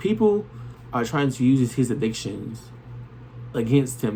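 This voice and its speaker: Noticeable background noise sits under talking that proceeds at a moderate pace. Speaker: tarot reader. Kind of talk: tarot reading monologue. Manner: stumbles on words.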